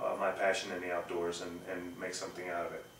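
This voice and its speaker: A man with an American accent, plus audible room echo and noticeable background noise. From US South (Texas, Arkansas). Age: 40s. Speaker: climbing guide and instructor. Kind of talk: personal introduction to camera. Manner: hesitant, many fillers.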